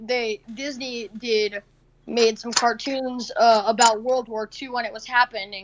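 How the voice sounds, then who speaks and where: Speaking at a fairly slow pace, a woman has an ordinary speaking voice at a fairly high pitch. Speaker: podcast co-host. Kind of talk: casual chat. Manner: excitable.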